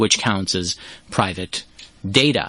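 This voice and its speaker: Against noticeable background noise, a man speaks in a very deep, low voice. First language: not English. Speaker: cyber security expert. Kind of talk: interview. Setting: studio.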